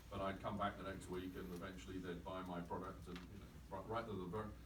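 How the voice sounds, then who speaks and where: Someone talks at a moderate pace with an English accent. Audible room echo and noticeable background noise are present. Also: man. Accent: received pronunciation. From England. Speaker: company chief executive. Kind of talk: talk with audience. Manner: animated.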